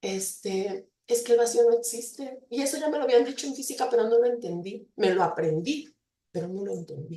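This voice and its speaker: With lively intonation, a woman's fairly high voice moves along at a moderate pace. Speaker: university lecturer in psychology. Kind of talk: invited talk. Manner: hesitant with fillers.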